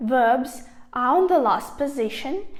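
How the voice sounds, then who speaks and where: A woman's high-pitched voice with lively intonation, at a very slow pace. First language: not English, a language with grammatical genders. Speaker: language learner vlogger. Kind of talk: casual talk to camera.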